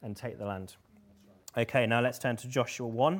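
Speaking at a moderate pace, a man with an English accent keeps a medium pitch and fairly even intonation. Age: 20s. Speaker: preacher. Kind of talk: sermon.

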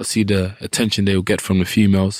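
A man's fairly low voice in a London accent, with monotone, flat intonation. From Southeast London. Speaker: professional boxer. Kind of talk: casual interview.

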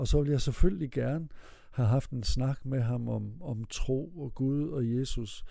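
A man speaks at a fairly slow pace in a dark, mellow tone. His medium-pitched voice shows ordinary pitch variation. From Denmark, Vesthimmerland (North Jutland). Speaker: interviewee telling his life story. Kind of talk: life story interview. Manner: halting, many repetitions and fillers.

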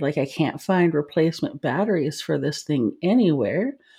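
Her pitch is very deep and low. The woman speaks at a fairly quick pace. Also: hardly any pauses, very even loudness. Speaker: podcast co-host. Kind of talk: casual chat, reading listener stories aloud. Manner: laughs often, playful.

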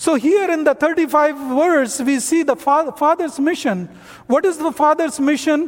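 A man speaks at an extremely high pitch with ordinary pitch variation. His pace is fairly slow and his loudness very even. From North India. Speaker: missionary. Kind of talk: sermon.

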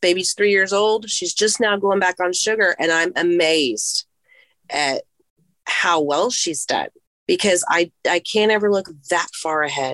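A woman speaks at a fairly slow pace in a plain, everyday voice, with ordinary pitch variation. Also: medium pitch for a woman. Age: 50s. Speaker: coaching client. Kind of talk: personal testimony in coaching session.

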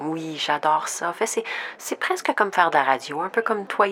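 A woman speaks at a medium pitch and a fairly quick pace, with ordinary pitch variation and noticeable background noise. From Saskatchewan, Saskatoon. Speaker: podcast host and producer. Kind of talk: scripted narration; staged radio interview skit.

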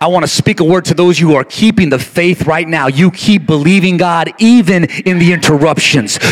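Against noticeable background noise, a man speaks with a high pitch and ordinary pitch variation at a moderate pace, with hardly any pauses. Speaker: pastor. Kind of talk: sermon. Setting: church; stage with audience. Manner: repetitive, rhythmic, exhorting.

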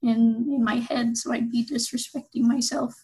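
A woman with a fairly high pitch at a fairly slow pace. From Utah. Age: 20s. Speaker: university student. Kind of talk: interview.

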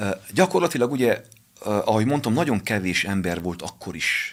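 On a very clean recording with a silent background, a man with a fairly low pitch speaks at a moderate pace with lively intonation. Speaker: pastor and boxing coach. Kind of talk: radio interview, personal testimony.

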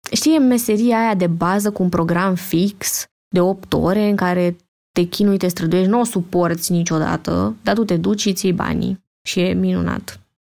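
Dark, mellow female speech at medium pitch, moderately paced and with ordinary pitch variation. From Romania, Petroșani. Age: 20s. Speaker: student. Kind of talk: casual chat.

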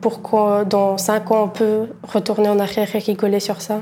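Someone with a Bulgarian accent speaks at a moderate pace. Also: woman. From Bulgaria, moved to Belgium at 13. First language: Bulgarian (speaking French). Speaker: aspiring chef and entrepreneur. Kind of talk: interview testimony.

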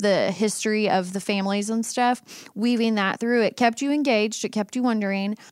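A woman with an ordinary speaking voice talks at a fairly quick pace in a fairly high pitch, with fairly even intonation and hardly any pauses. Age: 30s. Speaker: podcast co-host, former teacher. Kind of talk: casual chat.

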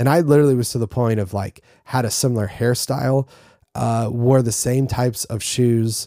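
A man speaks at a moderate pace in a dark, mellow tone. The recording is very clean, with a silent background and a dry, close sound with no echo. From North Carolina. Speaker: podcast host for worship leaders. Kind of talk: solo podcast monologue. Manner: casual, with frequent fillers and restarts.

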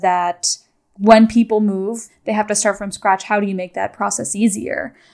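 A woman with a normal speaking voice and a medium pitch, fairly even intonation, in a very clean recording with a silent background. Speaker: podcast host. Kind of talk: interview.

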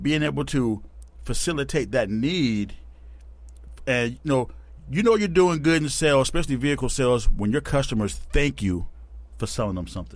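A man with an American accent at a fairly quick pace, broken by long, frequent pauses. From Tacoma, Washington, US. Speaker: car salesman. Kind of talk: casual chat.

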